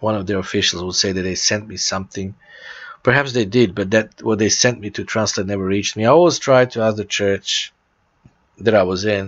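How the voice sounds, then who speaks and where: A man speaks with a Serbian accent. His pitch is fairly low and his pace fairly quick. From Serbia (former Yugoslavia). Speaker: church founder and preacher. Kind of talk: religious announcement talk. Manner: halting with repetitions.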